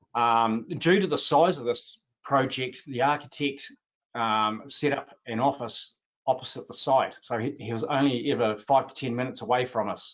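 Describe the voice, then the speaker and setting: Speaking with a New Zealand accent, a man has a medium pitch and ordinary pitch variation. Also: moderate pace. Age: 60s. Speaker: roofing business owner and panelist. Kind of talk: webinar panel presentation. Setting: online webinar. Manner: hesitant, many filler sounds.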